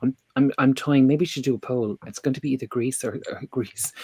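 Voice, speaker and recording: In an Irish accent, a man speaks at a medium pitch with a dry, close sound and no echo. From Ireland. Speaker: tarot reader and podcast host. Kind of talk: casual chat.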